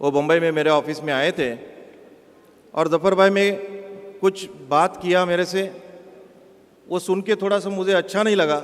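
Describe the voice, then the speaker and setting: With a non-native accent, a man speaks in a high voice with fairly even intonation and long, frequent pauses. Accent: non-native Hindi. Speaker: bank chief executive. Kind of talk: public speech. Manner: halting.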